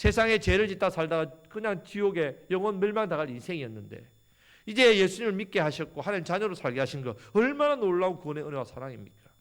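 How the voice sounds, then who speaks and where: Speaking at a very fast pace, a man with a high voice swings very widely in pitch. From Gyeongsang region, South Korea. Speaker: pastor. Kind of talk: sermon. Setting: church.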